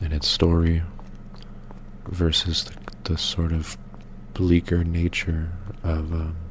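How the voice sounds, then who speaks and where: A soft-spoken man talks in a very deep, low voice at a very slow pace, with a relaxed tone and monotone, flat intonation. He leaves long, frequent pauses, his loudness swings widely, and there is noticeable background noise. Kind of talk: soft-spoken ASMR gaming commentary. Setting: gameplay recording with game audio. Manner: soft-spoken, relaxed.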